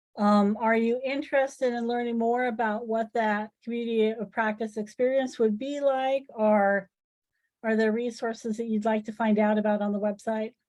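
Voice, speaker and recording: The woman's voice is fairly high and flat, with monotone intonation. She talks at a moderate pace. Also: quiet background. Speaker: engineering education presenter. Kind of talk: webinar presentation.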